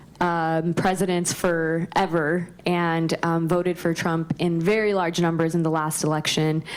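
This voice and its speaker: A woman with an American accent talks at a fairly slow pace with monotone, flat intonation, very even loudness and hardly any pauses. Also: fairly low pitch for a woman. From California, Bakersfield. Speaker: city council member. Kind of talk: panel discussion.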